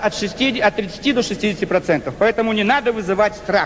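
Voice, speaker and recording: Over noticeable background noise, a man speaks very fast with ordinary pitch variation. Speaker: politician. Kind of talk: political speech to parliament.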